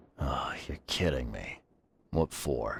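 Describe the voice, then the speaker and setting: A man's put-on character voice, raspy and very deep and low in pitch. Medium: video game.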